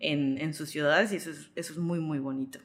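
Very deep, low pitch and ordinary pitch variation in a woman's voice. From Mexico, Yucatán (Mérida). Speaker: travel content creator. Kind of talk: interview conversation.

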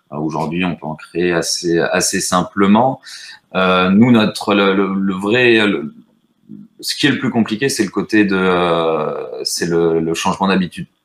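Speaking very slowly, a man keeps a fairly low pitch with ordinary pitch variation. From French Basque Country, rural. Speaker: startup co-founder. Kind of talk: casual live-stream interview.

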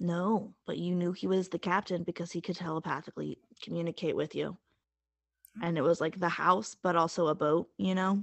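Speaking at a fairly quick pace, a woman with a fairly low pitch and vocal fry keeps her intonation fairly even. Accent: American. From Appalachian South (US). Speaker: podcast co-host. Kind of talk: casual chat.

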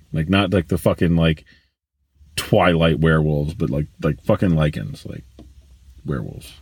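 A man speaks with a very deep, low pitch and vocal fry. His pitch varies in an ordinary way, broken by long, frequent pauses. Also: moderate pace. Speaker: podcast guest. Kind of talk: casual banter chat. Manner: joking, crude humor.

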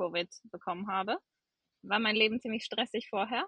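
With ordinary pitch variation, a woman talks in a fairly high register. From western Germany, near Cologne. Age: 30s. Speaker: medical student. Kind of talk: personal testimony in casual interview. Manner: many filler hesitations.

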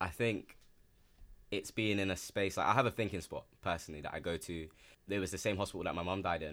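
Very fast speech from a man with a very deep, low pitch, ordinary pitch variation and a London accent, on a very clean recording with a silent background. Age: 20s. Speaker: model. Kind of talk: casual chat.

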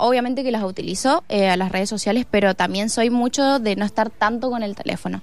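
A woman talks at a fairly quick pace. She leaves hardly any pauses. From Argentina, Mendoza (Santa Rosa). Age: 20s. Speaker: harvest festival queen candidate and PE student. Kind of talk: radio interview. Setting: studio.

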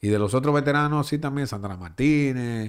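Lively intonation marks a man's normal speaking voice at a medium pitch and a fairly slow pace. The recording is very clean, with a silent background. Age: 40s. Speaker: baseball broadcaster. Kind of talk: casual interview.

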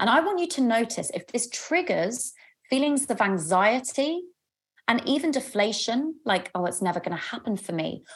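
A woman talks at a moderate pace with a London accent. Her high-pitched voice swings very widely in pitch. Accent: southern English (London). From London, England. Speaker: love coach and podcast host. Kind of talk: live group coaching session. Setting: video call. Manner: warm, animated and chatty.

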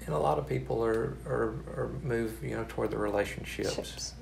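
A man's very deep, low voice in a Texan accent, at a fairly slow pace, with audible room echo and music in the background. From East Texas. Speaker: hospital chaplain. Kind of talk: interview. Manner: halting, many fillers and repeats.

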